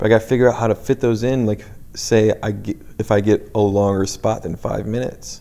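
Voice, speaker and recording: Medium pitch and fairly even intonation from a man. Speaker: comedian. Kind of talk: casual solo podcast monologue. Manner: fast, trips over words; casual, halting.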